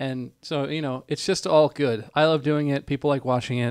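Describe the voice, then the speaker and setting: At a moderate pace, a man speaks at a medium pitch with fairly even intonation. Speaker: law student and stream co-host. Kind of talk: casual chat. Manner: quiet.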